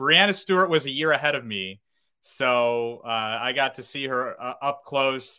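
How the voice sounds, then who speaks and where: Speaking in an upstate New York accent, a man has a bright, sharp tone and ordinary pitch variation. His pace is fairly slow, and the recording is very clean with a silent background. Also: medium pitch for a man. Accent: upstate New York American. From upstate New York, North Syracuse. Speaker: minor league baseball play-by-play broadcaster. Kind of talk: casual interview. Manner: halting, many fillers.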